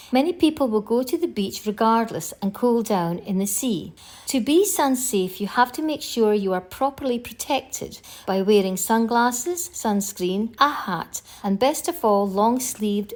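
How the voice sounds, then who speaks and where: A woman speaks at a fairly slow pace with a Scottish accent and lively intonation, recorded very cleanly against a silent background. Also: fairly high pitch for a woman. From northeast Scotland. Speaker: travel vlogger. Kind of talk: scripted narration.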